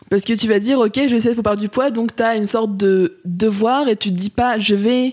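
Intonation stays fairly even as an ordinary speaking voice proceeds at a moderate pace. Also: woman. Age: 20s. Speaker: amateur kickboxer. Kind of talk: casual interview.

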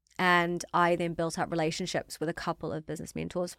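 A woman talks at a very fast pace with a slight New Zealand accent and a fairly low voice. Her intonation is monotone and flat, on a very clean recording with a silent background. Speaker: fashion startup founder. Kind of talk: interview.

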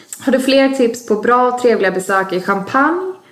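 A woman with ordinary pitch variation and noticeable background noise. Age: 20s. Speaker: podcast co-guest reading listener questions. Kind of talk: casual chat.

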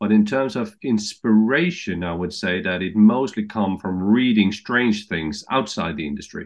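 A man speaks with a Danish accent and lively intonation. He takes hardly any pauses. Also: moderate pace. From Denmark. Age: 50s. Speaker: TV executive. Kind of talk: interview answers. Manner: halting.

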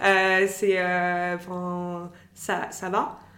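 A woman with a medium-pitched voice talks in a space with audible room echo. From France, Algerian family. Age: 30s. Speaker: e-commerce manager. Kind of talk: personal testimony interview.

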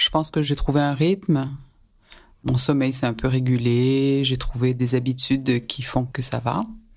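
A woman speaks at a fairly slow pace with a very deep, low pitch and fairly even intonation. The recording is very clean, with a silent background. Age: 40s. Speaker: listener sharing lockdown diary, student and nonprofit worker. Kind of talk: recorded personal testimony.

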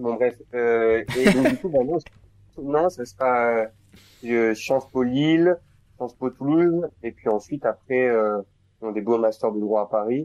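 Speech comes at a very slow pace with ordinary pitch variation. The sound is dry and close, with no echo. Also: man. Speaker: law student. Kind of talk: casual chat.

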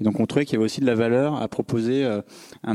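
The man's intonation is monotone and flat. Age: 30s. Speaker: startup founder. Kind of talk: talk with audience Q&A. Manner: hesitant, many fillers.

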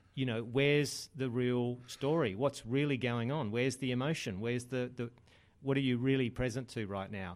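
A man with an Australian accent, medium pitch and fairly even intonation. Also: moderate pace. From Australia, Adelaide. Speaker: men's group organiser. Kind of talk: casual interview.

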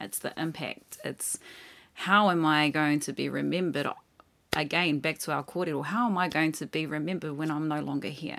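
At a moderate pace, a woman speaks with ordinary pitch variation in a very deep, low voice marked by vocal fry. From New Zealand, Māori. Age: 30s. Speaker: independent musician. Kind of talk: casual chat.

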